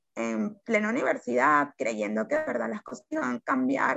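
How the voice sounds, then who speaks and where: A woman speaks at a moderate pace. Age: 20s. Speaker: journalist and activist. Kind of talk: casual interview chat.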